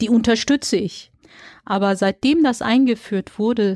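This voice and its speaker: A woman with a fairly high voice talks at a fairly unhurried pace. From Germany, Dortmund (Ruhr area). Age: 40s. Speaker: local election candidate and social worker. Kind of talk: interview. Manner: hesitant with fillers.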